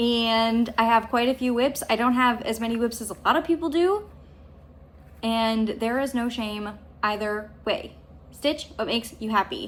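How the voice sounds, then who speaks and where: A woman's unremarkable speaking voice, fairly high in pitch with ordinary pitch variation, at a moderate pace on a very clean recording with a silent background. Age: 30s. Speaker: cross stitch vlogger. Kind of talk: casual vlog monologue. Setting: at home.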